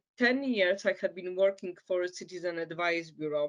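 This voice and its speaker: A woman speaks with a Polish accent. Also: quiet background. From Poland. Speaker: migrant caseworker. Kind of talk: interview. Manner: halting, many fillers.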